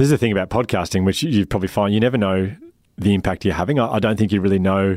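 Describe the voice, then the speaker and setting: A man with an Australian accent speaks at a very fast pace in a very deep, low pitch with ordinary pitch variation. The recording is very clean, with a silent background. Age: 40s. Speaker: founder of a wellbeing organisation, public speaker and podcaster. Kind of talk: interview. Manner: halting.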